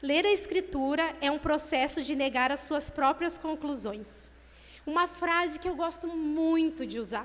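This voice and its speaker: Fairly slow speech from a woman, high in pitch, the pitch varying in an ordinary way. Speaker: lay preacher at women's church meeting. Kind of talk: sermon.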